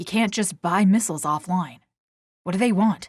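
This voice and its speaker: Putting on a character voice, a woman growls at a medium pitch and a moderate pace. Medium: read story. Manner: blunt, casual.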